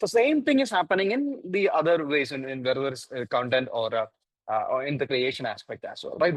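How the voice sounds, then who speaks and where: With a Keralan accent, a man speaks at a moderate pace using very wide pitch swings, recorded with a dry, close sound and no echo. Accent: Indian English, Malayali. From India, Kerala. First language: Malayalam. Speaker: AI ethics panelist. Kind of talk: panel discussion. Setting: virtual conference. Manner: halting, many fillers.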